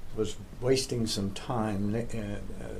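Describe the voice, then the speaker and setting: Heard with audible room echo, a man speaks in a dark, mellow tone with fairly even intonation. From Texas (Uvalde). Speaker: street minister, pastor. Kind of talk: interview. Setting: office.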